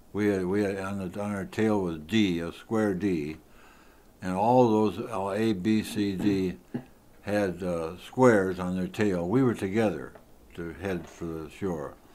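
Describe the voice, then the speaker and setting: A man speaks at a fairly slow pace with fairly even intonation. His voice is fairly low, with a dark, mellow tone. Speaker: war veteran. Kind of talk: interview answer.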